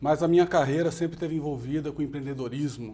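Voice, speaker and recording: A fairly high-pitched man sounds somewhat breathy. He keeps a fairly quick pace with fairly even intonation. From Brazil, Goiânia (Goiás). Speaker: entrepreneur and company founder. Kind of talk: TV interview.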